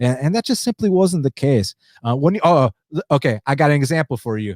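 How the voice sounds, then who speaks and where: An animated man with an American accent talks at a fairly quick pace. The recording is very clean and silent behind him, dry and close with no echo. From United States. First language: Spanish. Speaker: MMA podcast host. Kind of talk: live stream recap and chat. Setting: live stream.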